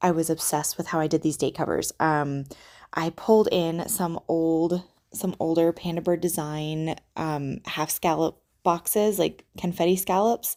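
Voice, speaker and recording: Quiet, dark, mellow speech at a fairly slow pace with fairly even intonation, in a very clean recording with a silent background. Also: woman, fairly low pitch for a woman. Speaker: planner YouTuber. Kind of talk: casual chat. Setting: visiting relatives' home.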